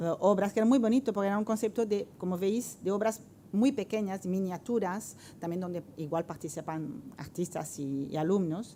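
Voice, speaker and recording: A woman with a French accent speaks at a moderate pace in a dark, mellow tone with ordinary pitch variation. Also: medium pitch for a woman. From France. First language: French (speaking Spanish). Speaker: art professor, researcher. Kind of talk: round-table presentation. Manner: halting, many fillers.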